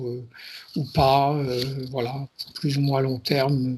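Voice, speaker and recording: Somewhat breathy, a man with a fairly high pitch speaks at a fairly slow pace. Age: 60s. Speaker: client in a hypnosis session. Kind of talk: interview. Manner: halting.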